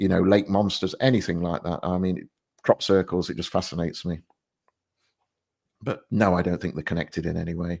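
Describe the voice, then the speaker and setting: A man's very deep, low voice in an English accent, fairly quick with long, frequent pauses and fairly even intonation, in a very clean recording with a silent background. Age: 60s. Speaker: retired police officer. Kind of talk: casual interview.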